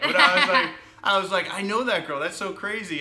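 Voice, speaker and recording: A man is heard talking over noticeable background noise. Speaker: filmmaker and podcast host. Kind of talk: podcast interview questions.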